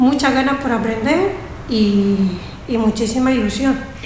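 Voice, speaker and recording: A woman's fairly slow speech, with ordinary pitch variation, carries audible room echo and noticeable background noise. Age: 60s. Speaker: music student. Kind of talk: radio interview.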